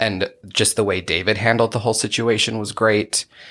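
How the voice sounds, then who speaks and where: Fairly low in pitch, a man with an American accent talks at a fairly quick pace in a plain, everyday voice, recorded very cleanly with a silent background. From Utah. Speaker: podcast host. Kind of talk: casual chat.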